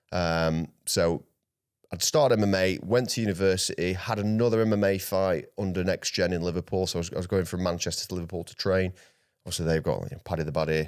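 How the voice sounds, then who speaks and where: A man speaks very fast in a South Yorkshire accent, his pitch very deep and low. His pitch varies in an ordinary way, and the recording is very clean with a silent background. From South Yorkshire, England. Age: 30s. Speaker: grappling athlete. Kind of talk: casual interview chat.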